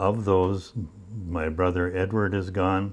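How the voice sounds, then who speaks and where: A man with a Minnesota accent speaks at a very slow pace. His pitch is very deep and low, and his intonation is fairly even. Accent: Upper Midwest Minnesota. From northern Minnesota, Iron Range. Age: 80s+. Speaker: retired mine machinist. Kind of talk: oral history interview. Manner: halting.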